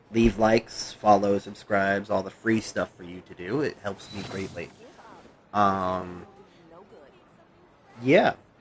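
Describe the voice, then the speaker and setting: A man with a fairly low pitch talks at a very slow pace, with long, frequent pauses and big swings in loudness. His intonation is fairly even, over noticeable background noise. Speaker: gaming streamer. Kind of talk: live gameplay stream chat. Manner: casual with many fillers.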